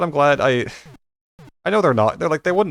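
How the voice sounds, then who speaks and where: Mumbling, a man lets his voice range through very wide pitch swings. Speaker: gaming YouTuber, let's play commentator. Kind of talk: let's play game commentary. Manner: halting, many fillers and restarts; casual, mumbly.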